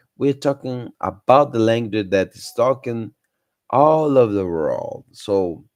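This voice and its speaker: The speaker talks at a fairly slow pace with a Brazilian Portuguese accent and ordinary pitch variation. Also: man, medium pitch for a man. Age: 30s. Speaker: English-learning YouTuber. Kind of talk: live stream talk. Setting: live stream. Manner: halting, many fillers.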